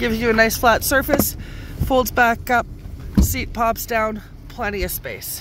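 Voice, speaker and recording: Against noticeable background noise, a woman with a fairly high pitch speaks fairly slowly, with long, frequent pauses. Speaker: car salesperson. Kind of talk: sales pitch, upbeat walkaround video pitch. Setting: dealership walkaround video. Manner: animated.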